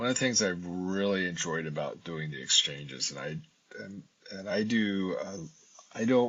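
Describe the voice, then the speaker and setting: A man's fairly low voice at a moderate pace, a plain, everyday voice with big swings in loudness. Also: lively intonation. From US, military family, born in Japan. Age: 60s. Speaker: ethnic studies professor. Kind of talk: interview conversation.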